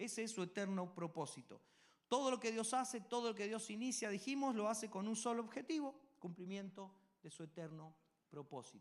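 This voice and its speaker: A man speaks at a fairly quick pace with a high pitch and lively intonation. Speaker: pastor. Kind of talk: sermon. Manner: fast.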